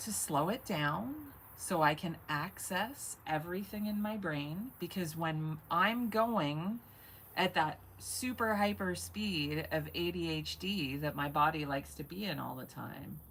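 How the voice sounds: A woman's slow speech at a fairly low pitch, fairly bright in tone, with ordinary pitch variation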